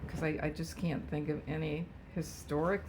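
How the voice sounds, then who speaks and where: A woman with a very deep, low pitch speaks at a moderate pace with vocal fry. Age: 80s+. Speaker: retired home economics teacher. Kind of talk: family interview. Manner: halting.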